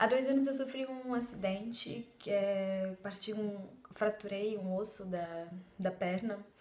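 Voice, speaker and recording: A woman speaking at a very slow pace amid audible room echo. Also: ordinary pitch variation. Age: 30s. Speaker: belly dance student. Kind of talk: testimony. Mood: warm, grateful. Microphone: phone near.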